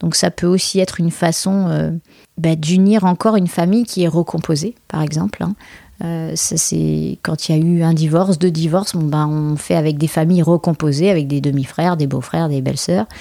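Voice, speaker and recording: A woman speaks at a moderate pace with a dark, mellow tone and a fairly low pitch. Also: ordinary pitch variation. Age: 40s. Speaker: wedding planner and podcast host. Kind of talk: solo podcast monologue. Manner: animated, laughing often.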